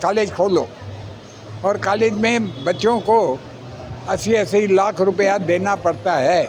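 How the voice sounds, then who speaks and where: A high-pitched man speaks with audible room echo and noticeable background noise. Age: 80s+. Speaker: acupressure therapist. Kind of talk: interview.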